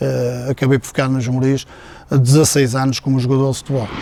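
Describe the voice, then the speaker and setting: Over noticeable background noise, a man speaks at a medium pitch in a flat monotone. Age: 60s. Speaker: former footballer. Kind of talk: interview testimony. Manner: halting, many fillers.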